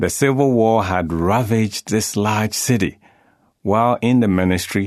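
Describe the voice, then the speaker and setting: Against a quiet background, a man with a normal speaking voice talks fairly slowly in a fairly low pitch with lively intonation. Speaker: narrator. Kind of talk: reading aloud. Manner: formal.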